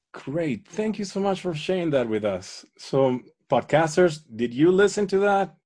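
A man speaks at a moderate pace with very wide pitch swings against a quiet background. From Venezuela. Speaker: podcast host. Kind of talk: interview conversation.

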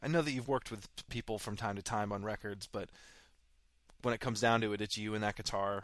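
In a very clean recording with a silent background, a man with a normal speaking voice talks at a fairly quick pace in a medium pitch. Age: 30s. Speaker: podcast host. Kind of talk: casual interview.

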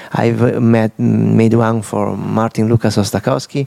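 Noticeable background noise sits behind a man with an Italian accent and a medium-pitched voice, recorded with a dry, close sound and no echo. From Italy, Udine. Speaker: digital artist. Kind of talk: interview about his exhibition. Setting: live recording at an exhibition space.

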